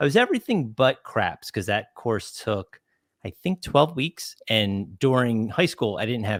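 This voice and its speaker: In a normal speaking voice, a man talks at a moderate pace with lively intonation, the sound dry and close with no echo. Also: very clean recording, silent background. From New Jersey. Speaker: podcast host. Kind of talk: podcast interview.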